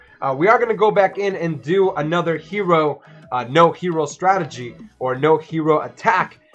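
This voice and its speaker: A man talks at a high pitch while music plays behind him. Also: ordinary pitch variation, moderate pace. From Dominican Republic. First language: Spanish. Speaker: gaming streamer. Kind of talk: live gameplay commentary. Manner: casual, filler-heavy.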